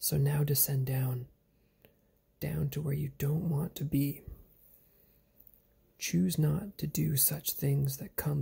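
A soft-spoken voice at a very slow pace. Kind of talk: reflective spoken-word monologue.

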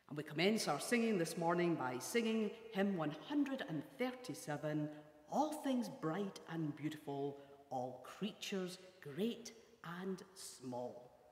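A woman speaks very slowly in a fairly low voice. Room echo is audible. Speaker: church minister. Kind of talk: welcome address for worship service. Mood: warm, welcoming. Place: hall. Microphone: lapel.

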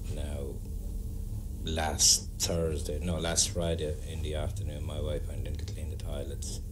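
Noticeable background noise sits under a man speaking with monotone, flat intonation. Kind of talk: interview answer. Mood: earnest, telling ghost story. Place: bar.

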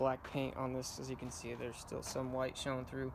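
A man talks fairly quickly, with light background noise around him. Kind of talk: tutorial. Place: garden. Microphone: phone near.

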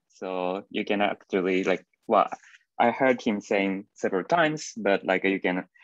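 There is a quiet background. A man talks in a very deep, low voice. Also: dry sound with no echo. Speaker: speaker. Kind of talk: lecture. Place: home room. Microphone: video call.

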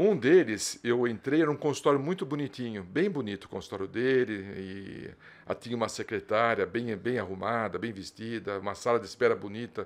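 Medium in pitch, a man speaks with ordinary pitch variation. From São Paulo city, Zona Norte; São Paulo, Brazil. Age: 60s. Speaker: dentistry professor. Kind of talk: casual interview. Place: studio. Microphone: studio mic.

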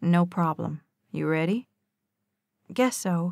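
A woman talks very slowly. Her voice sounds dry and close, without any echo. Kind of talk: audiobook reading of a romance novel.

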